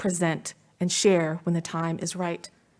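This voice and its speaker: A woman's plain, everyday voice, fairly low in pitch and fairly slow in pace, on a very clean recording with a silent background. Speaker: commencement speaker. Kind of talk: commencement speech. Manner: formal.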